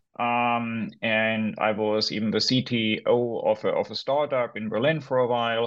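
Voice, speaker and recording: Over a quiet background, a man with a medium-pitched voice speaks at a fairly slow pace with fairly even intonation and hardly any pauses. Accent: German. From Germany. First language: German. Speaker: academic author. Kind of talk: interview. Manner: halting.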